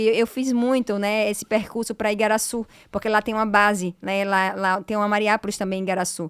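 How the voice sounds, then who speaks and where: Speaking at a fairly quick pace, a woman has a fairly high pitch. The recording is very clean with a silent background. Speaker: law professor and lawyer. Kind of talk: podcast interview. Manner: hesitant, repetitive fillers.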